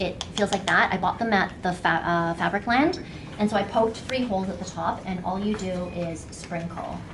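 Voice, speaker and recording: Noticeable background noise runs behind the recording. A woman speaks with fairly even intonation. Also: medium pitch for a woman. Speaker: art teacher. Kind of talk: workshop demonstration. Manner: fast.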